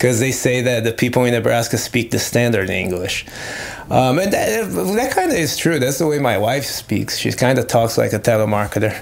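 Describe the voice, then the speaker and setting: A medium-pitched man with a Brazilian accent talks at a moderate pace with ordinary pitch variation over noticeable background noise. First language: Portuguese. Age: 30s. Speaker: metal guitarist. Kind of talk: casual chat. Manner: animated.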